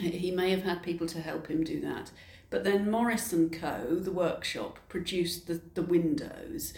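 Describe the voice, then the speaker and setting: Moderately paced speech with lively intonation and noticeable background noise. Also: woman. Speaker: heritage interpretation officer. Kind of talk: casual interview. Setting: in a cathedral.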